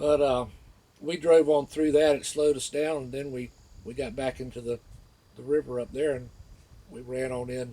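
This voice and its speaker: Dark and mellow, a man's medium-pitched voice carries an American accent. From northeast Florida. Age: 60s. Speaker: local resident telling a memory. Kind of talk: personal storytelling. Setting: outdoors by the water. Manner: casual, with many fillers.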